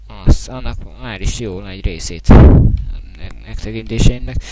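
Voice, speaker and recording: Pitch swings very widely at a moderate pace. There is noticeable background noise. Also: man. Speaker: gaming YouTuber. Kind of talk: casual vlog thank-you video. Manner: halting, many filler sounds. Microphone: quiet, mic held very close.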